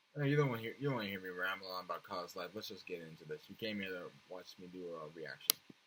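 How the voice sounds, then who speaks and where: A very fast pace with hardly any pauses, over noticeable background noise. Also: man, very deep, low pitch for a man, ordinary pitch variation. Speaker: youtube reactor. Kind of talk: casual vlog chat. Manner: soft-spoken; halting.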